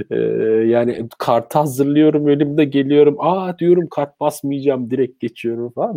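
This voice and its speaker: A man's plain, everyday voice with lively intonation. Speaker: live stream host. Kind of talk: live stream interview.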